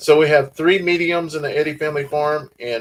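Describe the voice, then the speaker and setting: Speaking at a moderate pace, a man with a Southern US accent has a fairly high pitch. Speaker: farm channel host. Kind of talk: livestream chat.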